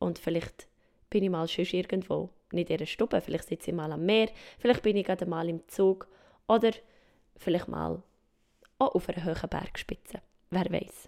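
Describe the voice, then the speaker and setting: Her voice sits at a medium pitch with a dark, mellow tone and vocal fry, moving at a moderate pace with fairly even intonation and long, frequent pauses. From Switzerland, mountain region. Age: 20s. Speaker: podcast host. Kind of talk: podcast intro monologue. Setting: at home in her living room.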